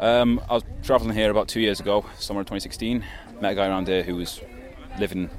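With a Mancunian accent, a man talks at a very fast pace in a fairly low pitch over noticeable background noise. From Manchester, England. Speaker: expat homesteader. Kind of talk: interview.

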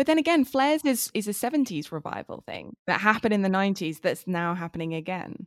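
A woman at a very fast pace with hardly any pauses and very wide pitch swings, in a very clean recording with a silent background and a dry, close sound with no echo. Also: medium pitch for a woman. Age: 30s. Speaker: literature researcher, podcast co-host. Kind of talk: casual academic chat.

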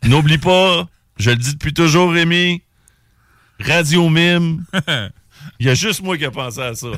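On a very clean recording with a silent background, a man with a Quebec accent speaks at a fairly slow pace with long, frequent pauses, his fairly high pitch showing ordinary variation. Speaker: radio host. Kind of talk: casual chat. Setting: studio.

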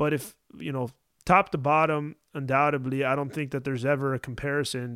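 A man's plain, everyday voice, fairly high in pitch and fairly quick, in a very clean recording with a silent background. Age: 30s. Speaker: former baseball catcher, podcast co-host. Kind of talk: casual chat.

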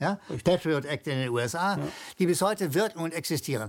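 Very wide pitch swings mark this man's fairly high voice as he talks at a fairly quick pace. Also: very clean recording, silent background. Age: old. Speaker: political commentator. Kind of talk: interview.

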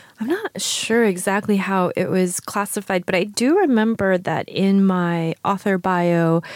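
With a New York accent, the speaker goes at a fairly slow pace with hardly any pauses, fairly even intonation and very even loudness, in a dry, close sound with no echo. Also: woman, medium pitch for a woman. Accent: American (New York). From New York, raised from age five. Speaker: writer and poet. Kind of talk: casual interview conversation. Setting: recording with hosts in France.

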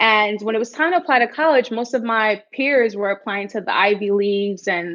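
A woman with an American accent speaks in an ordinary speaking voice at a fairly quick pace. Her pitch is fairly high and varies an ordinary amount. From New York City, the Bronx. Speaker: startup founder. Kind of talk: interview.

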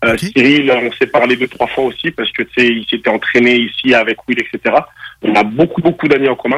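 A man's normal speaking voice at medium pitch, with ordinary pitch variation, a moderate pace and a dry, close sound with no echo. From France and Togo. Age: 30s. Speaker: boxer and former football player. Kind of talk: radio interview.

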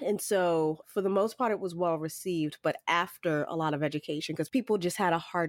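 A woman with an ordinary speaking voice talks at a moderate pace, fairly low in pitch with ordinary pitch variation. The recording is very clean, dry and close, with a silent background and no echo. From Boston, US. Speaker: consultant and former city resilience officer. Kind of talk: interview conversation.

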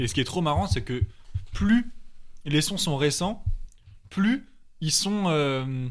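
With long, frequent pauses, a man speaks at a very slow pace, his fairly high voice making very wide pitch swings. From Paris. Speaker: music producer. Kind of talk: casual chat. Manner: animated.

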